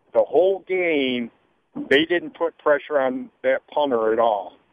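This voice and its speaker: With an ordinary speaking voice, a man talks at a fairly slow pace, his fairly high pitch carried by lively intonation. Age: 60s. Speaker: caller. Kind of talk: call-in radio. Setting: phone call.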